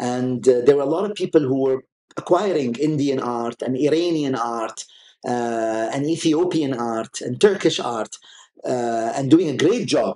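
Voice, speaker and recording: A man's medium-pitched voice with an Arabic accent, ordinary pitch variation and a fairly slow pace. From UAE, Sharjah. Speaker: art collector. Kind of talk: interview.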